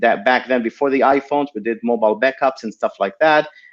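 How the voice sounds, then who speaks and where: A man speaks with an Israeli accent. Behind him the background is quiet. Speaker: tech entrepreneur. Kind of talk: interview. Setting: live video stream. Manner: hesitant, many fillers.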